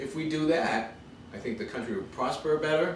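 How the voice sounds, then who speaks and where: Amid noticeable background noise and audible room echo, a man with an American accent speaks at a fairly quick pace. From Massachusetts. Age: 50s. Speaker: congressional candidate. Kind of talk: interview. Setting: at home.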